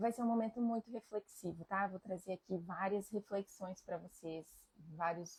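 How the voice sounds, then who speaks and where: Somewhat breathy and at a fairly slow pace, a woman speaks at a medium pitch with ordinary variation, the sound dry and close with no echo. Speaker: family constellation therapist. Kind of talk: live stream talk. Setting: live stream. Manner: reflective, conversational.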